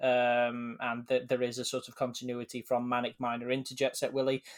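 A man with an English accent at a moderate pace, in a very clean recording with a silent background and a dry, close sound with no echo. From England. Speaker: podcast co-host. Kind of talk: casual chat.

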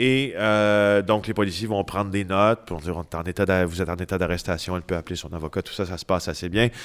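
Over a silent background on a very clean recording, a man with a very deep, low pitch talks at a fairly quick pace with fairly even intonation. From Quebec, Témiscamingue. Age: 40s. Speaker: investigative journalist. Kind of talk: interview.

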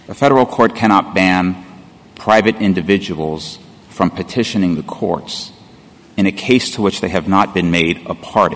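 There is noticeable background noise. Through it comes a man's very deep, low voice. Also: ordinary pitch variation, moderate pace. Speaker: lawyer for interveners. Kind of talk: appellate oral argument. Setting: courtroom.

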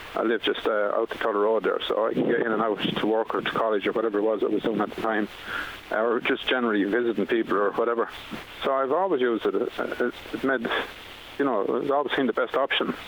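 Over noticeable background noise, a man with an Irish accent talks very fast at a medium pitch, his loudness very even and his intonation fairly even. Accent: Irish, Carlow. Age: 50s. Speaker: firefighter and council admin officer. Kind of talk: radio interview.

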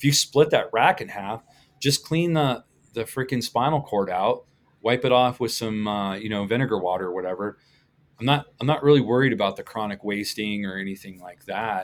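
Recorded very cleanly over a silent background, a man talks with an American accent. His medium-pitched voice moves at a fairly quick pace with ordinary pitch variation. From Colorado. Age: 50s. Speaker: butcher and instructor. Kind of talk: casual interview chat. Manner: animated.

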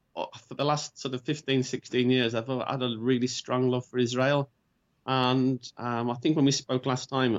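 In an English accent, a man speaks at a moderate pace and medium pitch with monotone, flat intonation. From England, Birmingham. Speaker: convert to Judaism. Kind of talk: interview. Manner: halting, with fillers.

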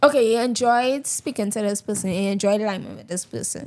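A woman speaks in an ordinary speaking voice. Her pitch is fairly high and her intonation fairly even. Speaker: guest. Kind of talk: casual chat.

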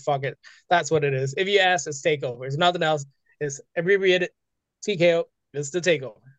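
A man is talking. His pace is very fast. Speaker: streamer guest. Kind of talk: casual chat interview. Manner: animated, high energy.

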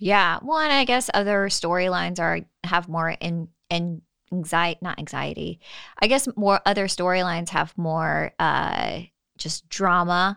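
A woman with a plain, everyday voice, fairly low in pitch, with ordinary pitch variation at a fairly slow pace, on a very clean recording with a silent background. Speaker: podcast co-host. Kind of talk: casual chat, recap podcast. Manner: casual, joking.

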